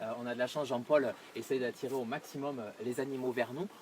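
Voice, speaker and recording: There is noticeable background noise behind this man. He speaks at a fairly quick pace and a medium pitch. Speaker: tourism video host. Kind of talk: on-location presentation. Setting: outdoors. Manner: soft-spoken.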